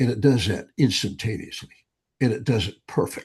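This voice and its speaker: Here a man is speaking. His voice comes across as somewhat breathy. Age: 80s+. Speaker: brain training author and speaker. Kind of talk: interview conversation. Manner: animated.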